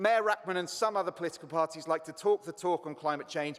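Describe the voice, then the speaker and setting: A man talks at a very fast pace in a high voice with ordinary pitch variation. Noticeable background noise sits behind him. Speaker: councillor. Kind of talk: council debate speech.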